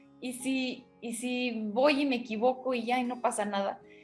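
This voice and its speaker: A woman talks at a high pitch. Music plays in the background. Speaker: TV news anchor and broadcaster. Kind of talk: interview answer, personal reflection. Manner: conversational, reflective, with hesitations.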